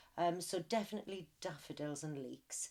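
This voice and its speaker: A woman with a Welsh accent and a fairly low pitch. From Wales. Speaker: interviewee. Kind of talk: interview.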